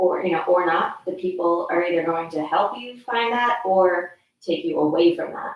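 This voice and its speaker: An unremarkable speaking voice from a woman, fairly low in pitch, at a moderate pace with ordinary pitch variation. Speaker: yoga teacher. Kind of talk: guided yoga class. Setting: friend's house.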